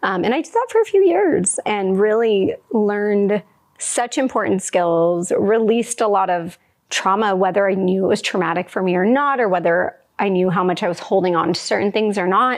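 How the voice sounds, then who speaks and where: A woman talks at a moderate pace in a medium pitch. Hers is a normal speaking voice with ordinary pitch variation. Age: 30s. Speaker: integrative dietitian and podcast co-host. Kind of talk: podcast conversation, personal story. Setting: live podcast with studio audience.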